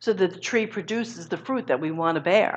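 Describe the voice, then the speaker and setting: A woman talks at a fairly slow pace. Her medium-pitched voice has lively intonation. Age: 60s. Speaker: guest minister. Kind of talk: sermon. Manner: animated.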